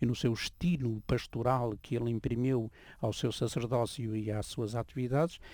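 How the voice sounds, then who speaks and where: At a moderate pace, a man with a European Portuguese accent speaks in a dark, mellow tone at medium pitch with fairly even intonation. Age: 70s. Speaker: priest and former journalist. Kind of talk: radio interview.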